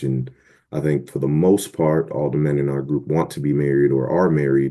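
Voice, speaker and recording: Delivered at a fairly quick pace, the voice has a dark, mellow tone and fairly even intonation. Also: man. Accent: American. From Boston, Massachusetts. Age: 30s. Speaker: podcast guest. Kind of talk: casual chat.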